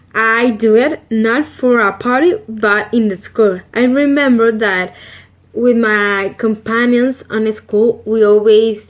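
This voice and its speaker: A woman with a Salvadoran accent, fairly high in pitch, at a very slow pace. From El Salvador. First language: Spanish. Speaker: vlogger. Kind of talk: casual vlog. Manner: halting with fillers.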